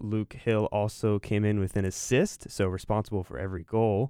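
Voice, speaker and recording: A man with an American accent talks at a fairly slow pace and a fairly low pitch, in an ordinary speaking voice. The recording is very clean with a silent background, a dry, close sound with no echo. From North Carolina, Raleigh area. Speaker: college sports podcast co-host. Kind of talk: casual chat.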